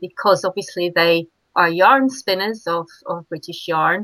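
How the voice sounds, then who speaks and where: Bright and sharp in tone, a woman's voice sits at a medium pitch. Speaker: fibre artist and cyclist. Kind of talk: casual interview.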